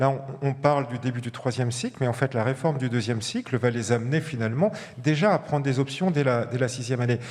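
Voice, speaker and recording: The man talks at a very fast pace. His pitch is medium with ordinary variation. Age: 60s. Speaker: medical professor, pulmonologist. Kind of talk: panel discussion.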